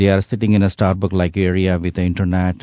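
A man with a very deep, low pitch. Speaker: condo sales representative. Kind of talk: radio interview, sales pitch.

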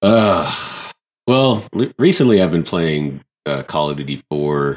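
A man is speaking. His pace is fairly slow. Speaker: gaming podcast guest. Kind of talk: casual chat.

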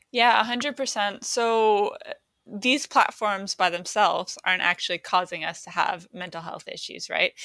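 On a very clean recording with a silent background, the voice has a bright, sharp tone and big swings in loudness at a fairly slow pace. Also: woman, medium pitch for a woman, ordinary pitch variation. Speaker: campaign co-founder. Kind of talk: radio interview.

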